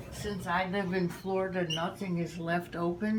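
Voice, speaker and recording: Speaking at a fairly slow pace, a woman with a fairly low voice is heard with audible room echo. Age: 80s+. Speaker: home baker teaching a family recipe. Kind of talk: casual cooking demonstration.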